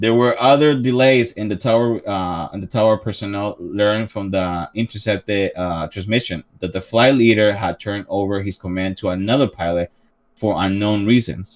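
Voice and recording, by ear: A man with a Spanish accent and a fairly low pitch comes through in a very clean recording with a silent background. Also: ordinary pitch variation, moderate pace, hardly any pauses. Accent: Spanish-flavored pronunciation of English.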